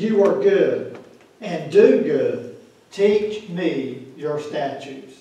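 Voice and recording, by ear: A man speaks at a very slow pace with a fairly high pitch and lively intonation. His dark, mellow tone carries strong room echo.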